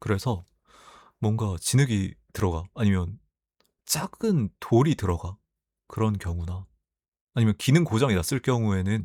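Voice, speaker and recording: In a very clean recording with a silent background and a dry, close sound free of echo, a soft-spoken man talks in a gentle tone at a fairly low pitch. His intonation is lively, his pace fairly slow, and he leaves long, frequent pauses. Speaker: YouTuber reading community posts. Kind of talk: reading aloud posts with casual commentary. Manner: soft, gentle sleep-aid delivery.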